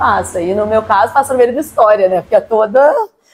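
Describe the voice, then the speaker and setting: The speaker is a woman. She keeps up a fairly quick pace. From Barra Mansa, Rio de Janeiro state interior, Brazil. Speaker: interviewee, local resident. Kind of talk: documentary interview.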